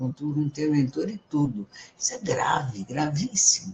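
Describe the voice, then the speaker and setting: Over noticeable background noise, a man with a fairly high pitch swings his voice very widely up and down. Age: 70s. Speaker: live stream host on self-knowledge and astrology. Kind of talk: live stream monologue. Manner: animated; halting.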